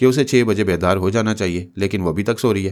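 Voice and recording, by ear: Ordinary pitch variation in reading aloud in a natural voice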